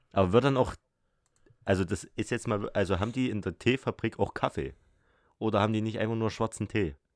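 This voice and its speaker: With long, frequent pauses, a man speaks at a fairly low pitch with ordinary pitch variation, the sound dry and close with no echo on a very clean recording with a silent background. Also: fairly quick pace. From Saxony, Erzgebirge. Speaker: podcast co-host. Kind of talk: casual chat.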